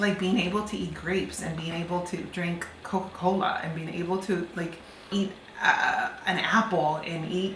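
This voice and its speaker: A woman's medium-pitched voice with fairly even intonation, amid noticeable background noise and audible room echo. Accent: Spanish. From Cuba, then New Jersey from age ten. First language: Spanish. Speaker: immigrant interviewee. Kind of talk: interview testimony. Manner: casual, filler-heavy.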